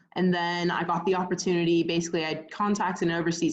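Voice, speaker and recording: A woman with an American accent, fairly low in pitch, at a fairly quick pace. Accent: American with a slight English tinge. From Pittsburgh, Pennsylvania, US. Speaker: footballer. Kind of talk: interview. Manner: hesitant, many fillers.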